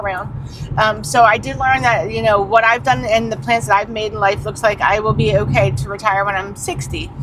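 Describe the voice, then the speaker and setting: Over noticeable background noise, a woman talks at a fairly quick pace in a fairly high pitch with very wide pitch swings. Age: 50s. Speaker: channel co-host. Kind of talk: casual chat.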